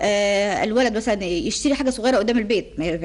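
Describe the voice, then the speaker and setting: This woman's fairly high voice carries a lively intonation. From Egypt. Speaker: personal development trainer. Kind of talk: TV interview. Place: studio. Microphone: studio mic.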